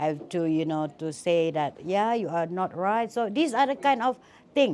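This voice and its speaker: In a very clean recording with a silent background, a woman with a plain, everyday voice talks at a moderate pace, her medium pitch carried by lively intonation. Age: 60s. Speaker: business executive, award honoree. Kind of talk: interview. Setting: event venue interview.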